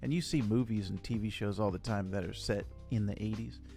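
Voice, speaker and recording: A man's fairly low voice at a moderate pace, with music in the background. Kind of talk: casual interview question.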